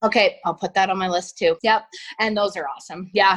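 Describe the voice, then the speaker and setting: A woman talks at a medium pitch with a Canadian accent, her intonation monotone and flat. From Canada. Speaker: reality TV personality. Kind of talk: casual chat. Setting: video call.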